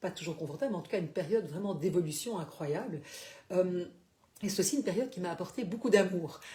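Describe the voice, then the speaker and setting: A woman talks at a medium pitch with lively intonation. Her tone is dark and mellow, and somewhat breathy. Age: 60s. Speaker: life coach / therapist. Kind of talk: live stream talk. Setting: Facebook live broadcast. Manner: hesitant, many fillers.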